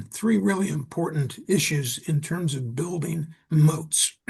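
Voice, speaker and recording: A man speaks in a somewhat breathy voice. His pitch varies in an ordinary way. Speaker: small business consultant. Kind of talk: panel discussion.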